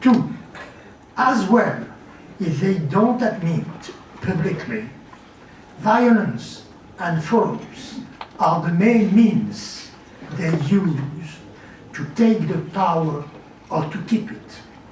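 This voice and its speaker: A man with a French accent, high in pitch, at a very slow pace with long, frequent pauses and lively intonation, amid noticeable background noise and audible room echo. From France. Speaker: journalist and writer. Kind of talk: conference talk. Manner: formal.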